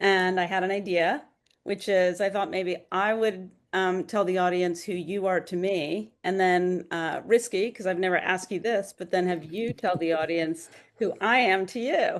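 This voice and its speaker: Speaking at a moderate pace against a quiet background, a woman has a plain, everyday voice at medium pitch with fairly even intonation. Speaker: writer and podcast host. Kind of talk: casual chat.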